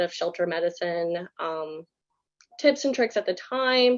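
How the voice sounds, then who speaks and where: Her pitch medium and its variation ordinary, a woman speaks. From US South, Baton Rouge, Louisiana. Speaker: animal shelter manager. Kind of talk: presentation. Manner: fast.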